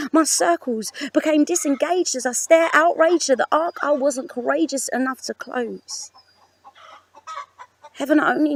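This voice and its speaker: With a British accent, a woman talks at a moderate pace using lively intonation, recorded with a dry, close sound and no echo. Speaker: spoken word poet. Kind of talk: spoken word poetry performance. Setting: outdoors on a farm with animal noises.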